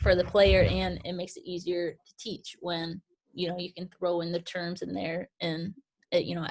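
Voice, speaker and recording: A soft-spoken woman with an American accent, at a moderate pace. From Michigan, Grand Rapids. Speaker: basketball skills trainer. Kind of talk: interview.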